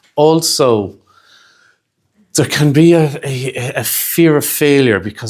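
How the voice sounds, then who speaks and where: This voice comes with a Dublin accent. Its pitch variation is ordinary. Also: man. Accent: Irish (Dublin). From Ireland. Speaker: hypnotherapy trainer. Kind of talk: lecture.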